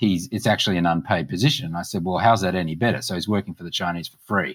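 A man in an Australian accent at a very fast pace. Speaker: political party policy chair. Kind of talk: interview. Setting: video call.

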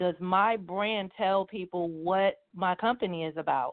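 A woman speaks in a plain, everyday voice at a medium pitch, her intonation fairly even. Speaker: truck driver and business founder. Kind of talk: live interview.

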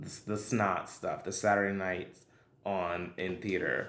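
A very slow-paced man with an American accent and a fairly low voice, with audible room echo and noticeable background noise. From Brooklyn, New York. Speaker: singer, actor and dancer. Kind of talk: casual chat.

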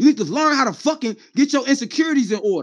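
Against a quiet background, a man speaks loudly and very fast in an extremely high pitch, his tone animated and his pitch variation ordinary. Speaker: battle rap commentator. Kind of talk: livestream rant. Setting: livestream.

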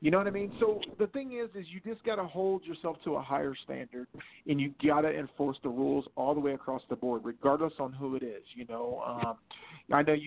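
At a fairly quick pace, a man talks in a plain, everyday voice with fairly high pitch. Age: 40s. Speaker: wrestling promoter. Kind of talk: casual chat.

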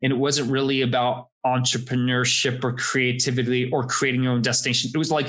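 A man with an American accent talks at a fairly quick pace in a medium pitch, a plain, everyday voice. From US, Florida. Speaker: space industry consultant. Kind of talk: interview.

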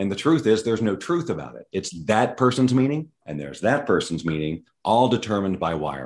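A man talks very fast with vocal fry and very wide pitch swings. The background is quiet. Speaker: brain rewiring trainer and coach. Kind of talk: interview, explanatory chat.

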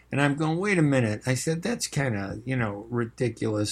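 Recorded very cleanly against a silent background, a man with a Chicago accent speaks at a medium pitch, with ordinary pitch variation and a moderate pace. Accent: Chicago American English. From US Midwest, Chicago. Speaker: radio host and journalist. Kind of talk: live radio talk show monologue. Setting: radio studio. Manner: casual, filler-heavy speech.

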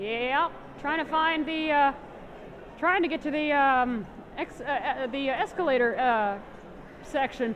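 Amid noticeable background noise, a woman with a high pitch speaks at a fairly slow pace, taking long, frequent pauses. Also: ordinary pitch variation. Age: 30s. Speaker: blind conference attendee vlogging. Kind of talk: casual chat while walking an exhibit hall. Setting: conference exhibit hall. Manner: halting.

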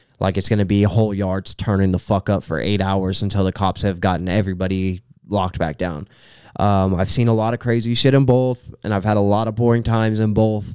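Fairly low in pitch, a man talks at a fairly quick pace in a dark, mellow tone with fairly even intonation. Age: 20s. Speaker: rapper. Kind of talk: casual chat.

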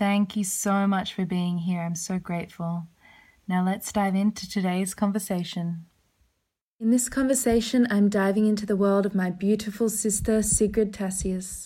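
A woman speaks at a medium pitch with fairly even intonation and a dark, mellow tone that is somewhat breathy. The recording is very clean, with a silent background. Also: moderate pace. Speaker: podcast host. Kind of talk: casual chat. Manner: warm, effusive.

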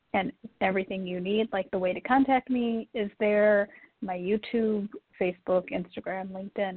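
A woman speaks with a plain, everyday voice at a medium pitch. She talks at a fairly slow pace with ordinary pitch variation. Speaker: domestic abuse survivor coach. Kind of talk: interview.

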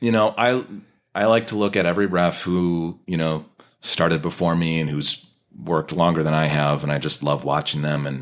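With an American accent, a man speaks at a very deep, low pitch and a moderate pace, with ordinary pitch variation. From US Midwest. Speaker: wrestling referee and voice-over artist. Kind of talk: casual chat. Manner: animated.

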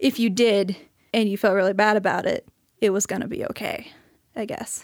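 A woman with a Midwestern American accent talks at a moderate pace and medium pitch, with ordinary pitch variation. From US Midwest (rural Missouri, St. Louis). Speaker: audio engineer. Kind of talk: casual chat.

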